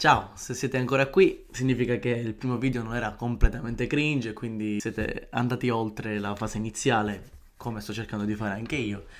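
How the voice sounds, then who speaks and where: A man uses an ordinary speaking voice at medium pitch and a fairly quick pace. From Palermo, Sicily. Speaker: podcaster. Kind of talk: solo podcast monologue.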